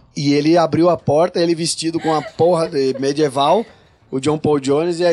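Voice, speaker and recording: Using an unremarkable speaking voice, a man talks fairly quickly at a fairly high pitch with fairly even intonation. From Brazil, São Paulo. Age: 40s. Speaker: rock singer and guitarist. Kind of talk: casual chat. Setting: studio.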